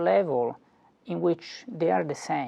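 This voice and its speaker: Speaking with an Italian accent, a man talks at a fairly slow pace. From Italy. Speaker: philosophy professor. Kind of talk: lecture. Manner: halting, frequent fillers and repetitions.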